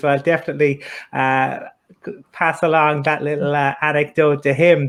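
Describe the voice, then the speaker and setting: With an Irish accent, a man speaks at a moderate pace and fairly high pitch against a quiet background. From Ireland. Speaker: podcast host, interviewer. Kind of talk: interview.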